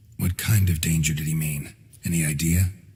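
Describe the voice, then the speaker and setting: A man puts on a character voice with a very deep, low pitch. He moves at a fairly quick pace. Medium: video game. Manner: terse, dry.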